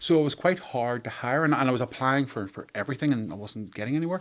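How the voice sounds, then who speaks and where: A man speaks with a Northern Irish accent at a very fast pace. His pitch is medium and his intonation lively. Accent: Northern Irish (Belfast). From Northern Ireland, near Belfast. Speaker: architect and entrepreneur. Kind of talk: podcast interview. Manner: hesitant, many fillers.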